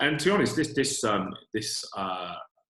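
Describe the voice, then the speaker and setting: A man speaks in a British accent with ordinary pitch variation. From UK. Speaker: retail e-commerce executive. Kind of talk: webinar panel talk. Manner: hesitant, many fillers.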